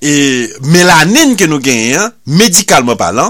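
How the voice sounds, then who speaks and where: At a very slow pace, a man with a fairly high pitch lets his voice swing very widely. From Haiti. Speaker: radio preacher. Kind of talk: sermon.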